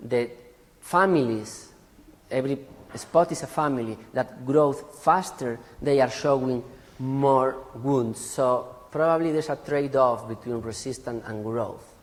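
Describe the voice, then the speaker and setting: A man talks fairly slowly, his medium-pitched voice showing ordinary pitch variation against noticeable background noise. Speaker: forest genetics researcher. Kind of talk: conference talk.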